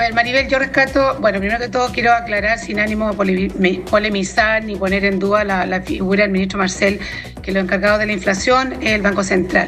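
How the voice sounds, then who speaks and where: Over music in the background and with audible room echo, a woman with a Chilean accent talks at a very fast pace, her medium pitch showing ordinary variation. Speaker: congresswoman. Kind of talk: TV news interview. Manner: halting, with repetitions.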